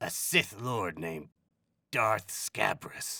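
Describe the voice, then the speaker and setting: In a put-on character voice, a man talks raspy and fairly low-pitched at a very slow pace. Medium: read story. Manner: casual, talkative.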